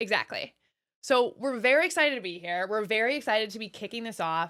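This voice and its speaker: With an American accent, a woman talks very fast in a fairly high, bright, sharp voice, her tone animated, her intonation lively and her loudness swinging widely, all on a very clean recording with a silent background. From US Midwest, Wisconsin. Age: 30s. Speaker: podcast co-host. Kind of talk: casual chat.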